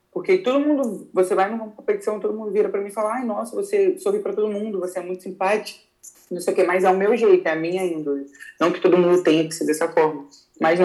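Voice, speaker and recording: A woman's dark, mellow voice at medium pitch, very fast, with ordinary pitch variation. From Rio de Janeiro, Brazil. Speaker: jiu-jitsu athlete. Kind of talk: casual interview.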